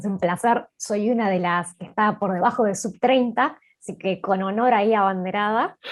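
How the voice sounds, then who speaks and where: An unremarkable speaking voice belongs to this woman at a medium pitch. She talks at a moderate pace with ordinary pitch variation. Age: 20s. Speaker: startup co-founder and marketing chief. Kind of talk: panel interview.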